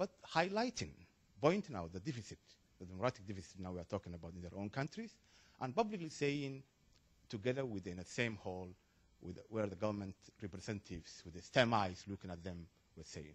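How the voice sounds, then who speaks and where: Lively intonation runs through very fast speech broken by long, frequent pauses. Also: man, fairly low pitch for a man, big swings in loudness. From Somalia. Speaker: audience member asking a question. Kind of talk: panel Q&A comment. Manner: halting.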